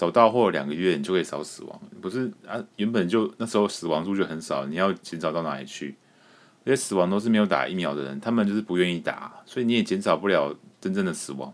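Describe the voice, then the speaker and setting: A man with a very deep, low pitch talks at a very fast pace with lively intonation. His loudness swings widely, and noticeable background noise runs underneath. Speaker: podcast host. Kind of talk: casual solo commentary.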